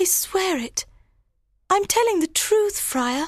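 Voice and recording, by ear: In a put-on character voice, a woman speaks slowly at an extremely high pitch. Her intonation is lively.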